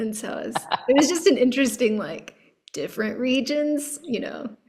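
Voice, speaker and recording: With a Texan accent, a woman speaks at a moderate pace in a high pitch. Her intonation is lively, and her loudness swings widely. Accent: Texan American. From Texas. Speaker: podcast host. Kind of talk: casual interview chat.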